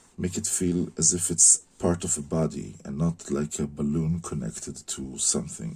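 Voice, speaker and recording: A man with a non-native accent, a dark, mellow tone and a very deep, low pitch. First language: not English. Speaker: concept artist teaching drawing. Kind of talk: tutorial. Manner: hesitant, many fillers.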